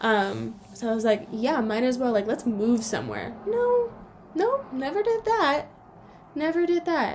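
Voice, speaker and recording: A woman in a Californian accent speaks at a fairly slow pace with a high pitch and lively intonation. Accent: Californian American English. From Southern California, South Bay of Los Angeles. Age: 20s. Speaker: podcast co-host and phonics teacher. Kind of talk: casual chat. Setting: podcast recording.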